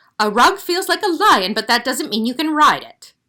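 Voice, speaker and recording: A woman's high-pitched, put-on character voice at a moderate pace, with very wide pitch swings and big swings in loudness. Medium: read story. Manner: bossy, condescending.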